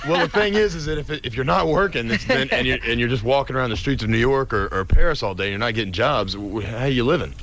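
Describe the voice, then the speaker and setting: Against noticeable background noise, a man with a medium pitch talks at a very fast pace with very wide pitch swings and hardly any pauses. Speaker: reality TV star and former model, interview guest on a radio show. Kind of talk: radio interview answer, casual and bantering.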